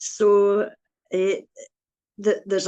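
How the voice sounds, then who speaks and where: Speaking very slowly, a woman talks in a Scottish accent. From Scotland, Glasgow area (Busby, Newton Mearns). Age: 90s. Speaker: churchgoer interviewee. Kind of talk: interview. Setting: video call.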